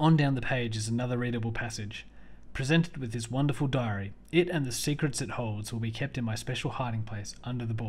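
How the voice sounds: The clip carries a natural reading voice with ordinary pitch variation.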